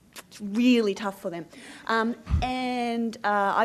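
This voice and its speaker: A woman with an Australian accent speaks with fairly even intonation. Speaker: media director. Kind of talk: conference talk.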